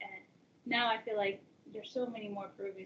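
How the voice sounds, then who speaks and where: Against noticeable background noise, a woman talks very fast with ordinary pitch variation. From Peru, raised in US from age seven. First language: Spanish. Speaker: college access advisor. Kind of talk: personal interview talk. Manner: casual, many fillers.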